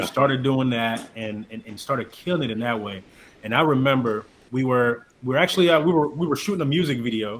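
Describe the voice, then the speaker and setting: A man speaks at a fairly quick pace in an ordinary speaking voice. His medium pitch shows ordinary variation. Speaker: podcast host. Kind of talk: casual interview conversation. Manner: upbeat.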